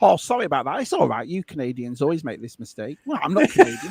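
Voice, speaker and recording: A man speaks with a northern English accent at a fairly high pitch. His pitch swings very widely. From northern England. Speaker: live stream co-host. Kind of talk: casual chat. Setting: live stream. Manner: animated.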